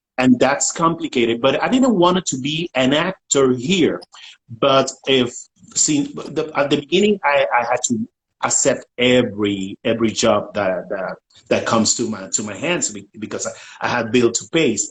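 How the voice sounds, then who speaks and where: A man with a Puerto Rican accent talks at a medium pitch, somewhat breathy, with lively intonation. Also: moderate pace. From Puerto Rico. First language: Spanish. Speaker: writer, actor and director. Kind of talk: panel interview.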